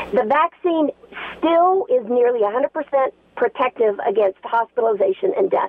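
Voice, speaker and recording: Speaking with an American accent, a woman keeps her loudness very even while her high-pitched voice makes very wide pitch swings. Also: fairly slow pace. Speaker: healthcare worker. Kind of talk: call-in. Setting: phone call.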